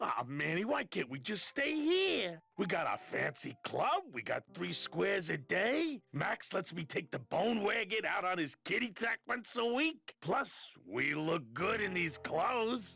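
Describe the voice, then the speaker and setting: A put-on character voice at middle pitch moves at a fairly slow pace. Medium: video game. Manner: friendly, casual.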